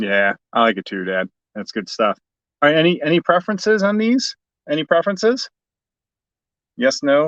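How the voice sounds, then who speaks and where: A man with a slight Chicago accent speaks at a moderate pace, his pitch swinging very widely. He leaves long, frequent pauses, and the sound is dry and close with no echo. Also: fairly high pitch for a man. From US Midwest, Chicago. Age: 40s. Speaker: toy collector youtuber. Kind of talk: livestream unboxing. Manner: enthusiastic.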